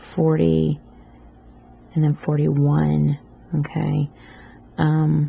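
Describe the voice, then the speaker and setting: A woman speaks at a very slow pace in an American accent, with long, frequent pauses. Noticeable background noise runs behind her. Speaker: loom knitting tutor. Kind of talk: tutorial. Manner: casual, with many fillers.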